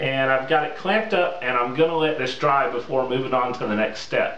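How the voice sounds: A man speaks at medium pitch with ordinary pitch variation. Background noise is clearly audible. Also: moderate pace.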